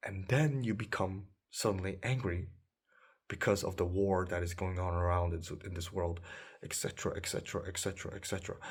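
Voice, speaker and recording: A man talks at a fairly quick pace with a very deep, low pitch. His voice is somewhat breathy and his intonation fairly even. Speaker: dating coach. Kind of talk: monologue advice video.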